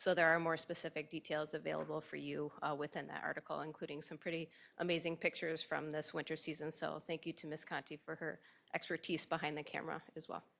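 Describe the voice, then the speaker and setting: At a very fast pace, a woman speaks in a very deep, low pitch with vocal fry and a monotone, flat delivery. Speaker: school athletic director. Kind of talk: presentation at board meeting.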